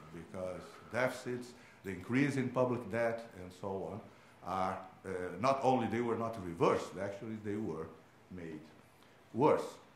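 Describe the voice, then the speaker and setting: A man with a Portuguese accent speaks with lively intonation. The recording carries audible room echo and noticeable background noise. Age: 60s. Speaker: economics professor. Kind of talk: conference talk. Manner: hesitant, many fillers.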